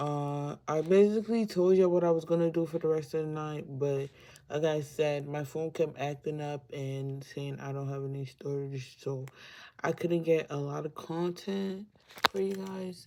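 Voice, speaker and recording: A woman's very deep, low voice has a dark, mellow tone and ordinary pitch variation. The recording is very clean, with a silent background. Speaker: lifestyle vlogger. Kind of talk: casual vlog talk to camera. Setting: bedroom, sitting on bed. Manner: slow; casual with fillers.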